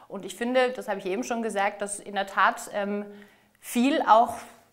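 With noticeable background noise, a woman speaks at a moderate pace and medium pitch, her intonation fairly even. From southern Germany, Ostalb (Aalen), Baden-Württemberg. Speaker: mayoral candidate, politician. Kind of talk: political interview.

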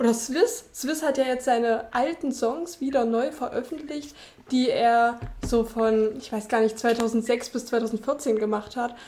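In a dark, mellow tone, a woman with a high pitch speaks at a fairly slow pace. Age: 20s. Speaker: podcast guest. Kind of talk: casual chat. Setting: remote call.

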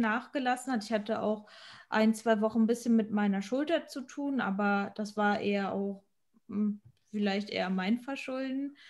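Over a silent background in a very clean recording, a woman uses a plain, everyday voice, fairly high in pitch with ordinary pitch variation. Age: 20s. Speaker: amateur physique athlete. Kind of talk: casual chat.

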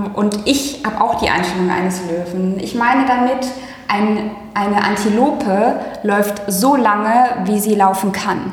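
Talking at a fairly slow pace, a woman keeps medium pitch with ordinary pitch variation. Both audible room echo and noticeable background noise are present. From Germany, Hagen-Hohenlimburg (Ruhr/Westphalia). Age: 30s. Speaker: care sector business founder. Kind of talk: casual interview. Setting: office.

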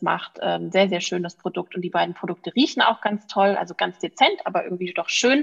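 A woman's ordinary speaking voice, medium in pitch and fairly quick in pace. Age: 30s. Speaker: physician and natural cosmetics founder. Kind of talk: podcast interview.

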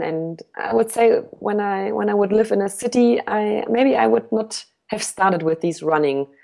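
With a German accent, a woman talks at a medium pitch and moderate pace, her intonation lively. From Germany. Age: 30s. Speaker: ultra runner. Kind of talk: interview. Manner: halting.

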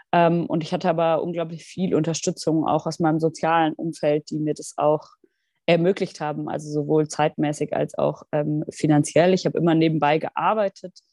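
Over a quiet background, a woman speaks at a moderate pace in a very deep, low pitch with a dark, mellow tone. Her intonation is monotone and flat, and the sound is dry and close with no echo. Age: 20s. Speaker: member of parliament. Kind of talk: interview.

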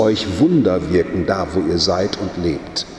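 Over noticeable background noise and audible room echo, a man speaks at a very slow pace with very wide pitch swings. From Germany, Münsterland. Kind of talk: sermon. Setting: church.

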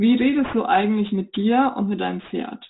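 Speaking with a Franconian accent, a woman keeps a moderate pace. Her pitch is fairly high, with ordinary pitch variation. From Germany, Upper Franconia. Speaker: riding instructor. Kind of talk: interview.

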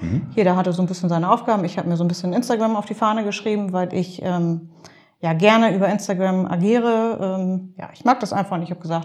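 At a fairly quick pace, the voice sounds somewhat breathy and shows ordinary pitch variation. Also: woman. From Nordhorn, Grafschaft Bentheim, northwest Germany. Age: 30s. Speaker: social media blogger and columnist. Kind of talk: casual interview. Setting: office.

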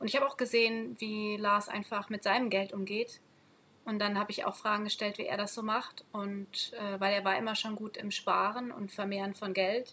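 At a moderate pace, a woman with a medium pitch talks in a monotone, flat intonation. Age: 30s. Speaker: schoolteacher on sabbatical. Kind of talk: casual interview.

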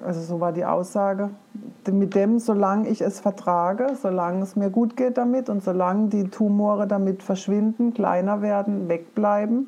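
Noticeable background noise runs behind this woman. She speaks at a medium pitch and moderate pace, with fairly even intonation. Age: 50s. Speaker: forest educator and cancer patient. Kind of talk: personal testimony in an interview.

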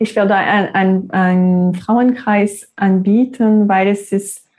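A woman speaks in a Quebec accent with a dark, mellow tone. Her pitch sits in the medium range and her intonation is fairly even. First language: French (speaking German). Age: 30s. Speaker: yoga teacher. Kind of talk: guided meditation; interview. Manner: halting.

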